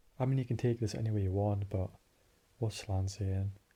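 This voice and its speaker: This man's voice has a dark, mellow tone, fairly low in pitch and somewhat breathy, with fairly even intonation. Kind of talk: analytical discussion of a story, theory talk. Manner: whispered, calm, relaxing.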